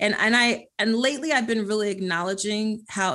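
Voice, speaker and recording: The tone is bright and sharp. It comes from a woman with an American accent. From Philadelphia, US. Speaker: creativity strategist and author. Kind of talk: interview conversation.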